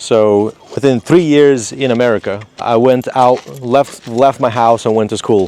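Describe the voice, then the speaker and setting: A man with a Moldovan accent, medium pitch, and ordinary pitch variation over noticeable background noise. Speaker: contractor, business owner. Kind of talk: interview. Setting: outdoors in a state park. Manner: halting, many fillers.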